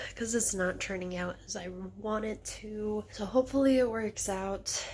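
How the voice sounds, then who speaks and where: Speaking at a fairly slow pace, a woman has a plain, everyday voice, fairly high in pitch, with ordinary pitch variation. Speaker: leather crafter vlogger. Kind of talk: casual vlog narration.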